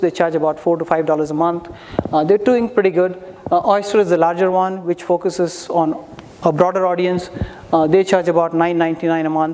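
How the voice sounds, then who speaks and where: With noticeable noise in the background, the speech runs at a fairly quick clip. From India. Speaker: startup founder pitching. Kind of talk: startup pitch.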